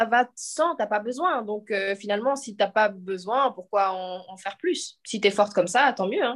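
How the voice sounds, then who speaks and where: A woman speaks in a normal speaking voice, fairly high in pitch, with lively intonation. She goes at a fairly slow pace against a quiet background. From French-speaking Switzerland, Lausanne. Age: 20s. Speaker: professional sprinter. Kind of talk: casual chat. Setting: video call.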